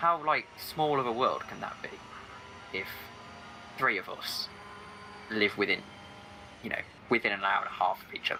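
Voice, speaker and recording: A man talks at a moderate pace, stopping often for long pauses. His loudness swings widely, and background noise is noticeable. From England, Staffordshire. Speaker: sim racing commentator. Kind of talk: casual chat.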